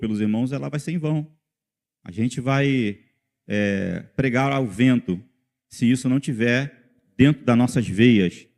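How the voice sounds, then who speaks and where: A man has an unremarkable speaking voice. His speed is moderate. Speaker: lay preacher. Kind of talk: sermon.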